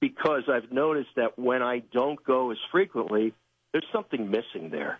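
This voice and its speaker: Here a man with an unremarkable speaking voice talks at a fairly quick pace, using a medium pitch with ordinary variation. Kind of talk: devotional talk, Scripture reading.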